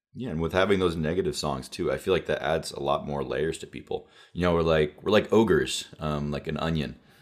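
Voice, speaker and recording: Hardly pausing at all, a man with a very deep, low voice talks at a fairly quick pace with ordinary pitch variation. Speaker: podcast host. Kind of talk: casual conversation.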